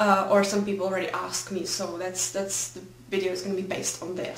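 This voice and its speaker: Background noise and room echo are both noticeable. A woman speaks with a Czech accent. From Czech Republic. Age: 20s. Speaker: fashion blogger. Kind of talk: casual vlog. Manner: hesitant.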